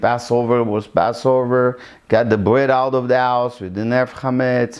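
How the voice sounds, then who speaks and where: A man is speaking. He has an Israeli accent. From Israel, Iraqi family. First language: Hebrew. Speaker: interviewee in documentary. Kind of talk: personal life story interview. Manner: halting, many fillers.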